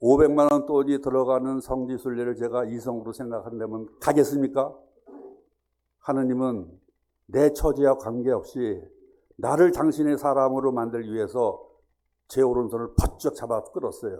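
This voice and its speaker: A man speaks with a dark, mellow tone at medium pitch. His pace is moderate and his intonation fairly even. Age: 70s. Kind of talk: testimony.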